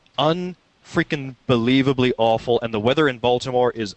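A man with a plain, everyday voice, medium pitch, moderate pace and ordinary pitch variation. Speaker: podcast co-host. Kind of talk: casual chat.

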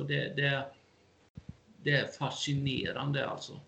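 A man speaks at a very slow pace. There is audible room echo. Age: 50s. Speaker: amateur historian and lecturer. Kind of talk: interview.

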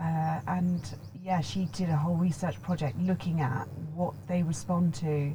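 Against noticeable background noise, a woman speaks at a fairly slow pace with a fairly low pitch, ordinary pitch variation and very even loudness. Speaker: vocal coach and voice training founder. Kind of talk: casual interview chat. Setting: in person at guest's premises.

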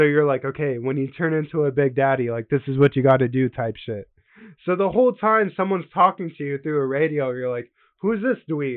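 Here is a man with an unremarkable speaking voice, a fairly high pitch and ordinary pitch variation, talking at a fairly quick pace. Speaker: gaming podcast co-host. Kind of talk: casual chat.

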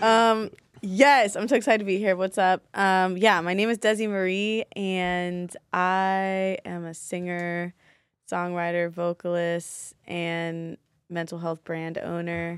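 Very slowly and with big swings in loudness, a woman with an American accent speaks with fairly even intonation in a very clean recording with a silent background and a dry, close sound with no echo. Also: medium pitch for a woman. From Baltimore, Maryland. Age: 20s. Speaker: singer and event organizer. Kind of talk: casual chat.

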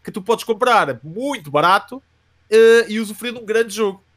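A high-pitched man at a moderate pace, with ordinary pitch variation. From Portugal, Coimbra. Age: 30s. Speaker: youtuber and metal band vocalist. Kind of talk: casual interview.

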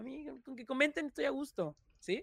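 A raised, projected voice with a bright, sharp tone comes through on a very clean recording with a silent background. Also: man. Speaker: content creator. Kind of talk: casual chat. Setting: livestream.

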